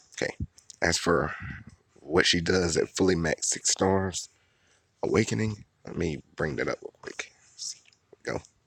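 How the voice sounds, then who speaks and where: Quiet and at a moderate pace, a man speaks with long, frequent pauses. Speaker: gaming video creator. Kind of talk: game commentary. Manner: quiet, low voice.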